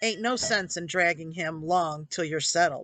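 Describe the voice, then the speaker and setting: Over a quiet background, someone uses a put-on character voice at a middle pitch and a moderate pace. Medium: read story.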